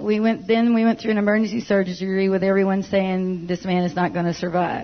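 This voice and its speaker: A woman speaks in a normal speaking voice at a medium pitch and a fairly quick pace. Her loudness stays very even and her intonation fairly even. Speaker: church member giving testimony. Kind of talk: testimony. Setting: church.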